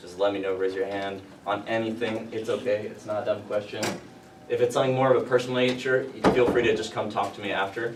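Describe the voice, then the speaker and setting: Over noticeable background noise and audible room echo, a man with an American accent talks at a very fast pace, medium in pitch and fairly even in intonation. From Louisiana, US South. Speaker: university security staff giving briefing. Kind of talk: safety briefing to students. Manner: casual, filler-heavy; can speed up.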